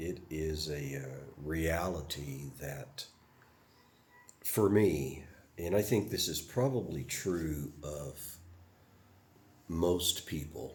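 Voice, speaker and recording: A man with an American accent speaks very slowly in a very deep, low voice with vocal fry and ordinary pitch variation. Long, frequent pauses break up his speech, and the room echo is audible. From US South. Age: 70s. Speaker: retired Air Force veteran vlogger. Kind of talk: personal reflection monologue. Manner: halting, many fillers.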